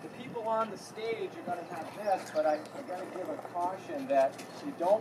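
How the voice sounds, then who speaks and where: Background noise is noticeable throughout. A man talks at a moderate pace. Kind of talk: work briefing instructions. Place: open country. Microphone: camera far.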